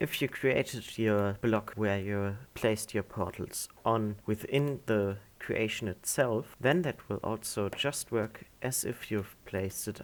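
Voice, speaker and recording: With ordinary pitch variation and hardly any pauses, a man talks at a very slow pace. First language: not English. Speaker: gaming tutorial creator. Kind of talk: tutorial.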